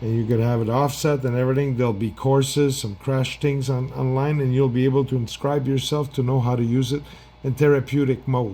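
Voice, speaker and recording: The speaker talks fairly quickly in a French accent, the intonation flat and monotone. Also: man, medium pitch for a man. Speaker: product seller. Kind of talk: product demo. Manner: halting.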